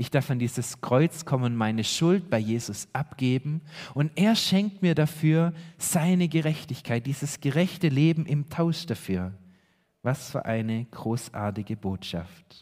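A man's fairly high voice has lively intonation and moves at a fairly slow pace. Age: 30s. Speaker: pastor. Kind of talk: sermon. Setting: church. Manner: earnest, preaching; emphatic, repeating key phrases.

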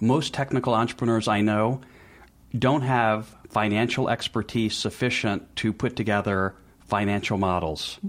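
An unremarkable speaking voice belongs to a man with an American accent, fairly low in pitch, speaking at a moderate pace with very even loudness and fairly even intonation on a very clean recording with a silent background. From US South, Memphis, Tennessee. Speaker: business advisor to entrepreneurs, former lawyer. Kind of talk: interview.

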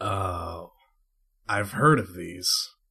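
A man puts on a gruff, gravelly character voice. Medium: actual play. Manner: casual, easygoing.

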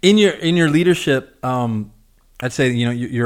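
A man talks at a fairly quick pace in a plain, everyday voice, with ordinary pitch variation. The recording is very clean, with a silent background. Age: 20s. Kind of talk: casual chat. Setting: studio.

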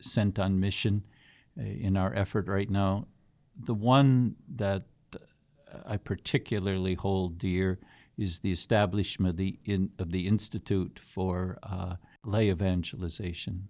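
A man's fairly low voice at a very slow pace, on a very clean recording with a silent background. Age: 70s. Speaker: archbishop. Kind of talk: casual interview chat.

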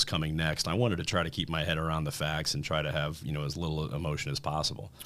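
A very deep, low-pitched man with an American accent, very fast delivery, fairly even intonation and audible room echo. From Indiana, US Midwest. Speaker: kidney cancer survivor. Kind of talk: testimony.

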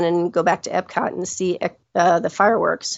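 A woman speaks in an ordinary speaking voice. Her pitch is medium and her pace is moderate. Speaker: trip guest sharing Disney visit. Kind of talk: casual interview chat.

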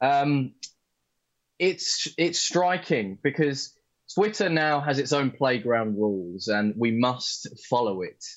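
A man's fairly high voice in an English accent, very slow, with very wide pitch swings. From England. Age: young. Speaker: co-host. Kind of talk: live stream political chat. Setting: video call.

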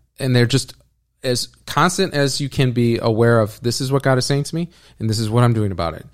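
At a fairly quick pace, a man with an ordinary speaking voice talks at a medium pitch with ordinary pitch variation on a very clean recording with a silent background. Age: 30s. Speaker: ministry leader. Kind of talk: interview. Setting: in person.

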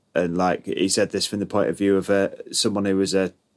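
Speaking at a fairly quick pace, a man with a British accent has a fairly low pitch. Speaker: podcast co-host. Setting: recorded with new microphone setup.

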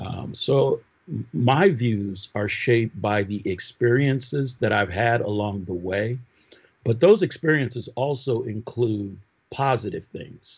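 A man with a medium pitch and a somewhat breathy voice speaks at a fairly slow pace with ordinary pitch variation. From Oakland, California and Michigan. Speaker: prosecutor and former police officer. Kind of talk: panel discussion.

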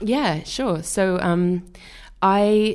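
With a Welsh accent and ordinary pitch variation, a woman talks on a very clean recording with a silent background. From rural Wales. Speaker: illustrator. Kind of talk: interview.

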